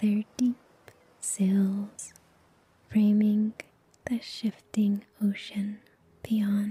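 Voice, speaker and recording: A woman speaks in a medium pitch with monotone, flat intonation. Her very slow delivery has long, frequent pauses, recorded with a dry, close sound and no echo. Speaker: meditation guide. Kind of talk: guided meditation. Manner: soft-spoken.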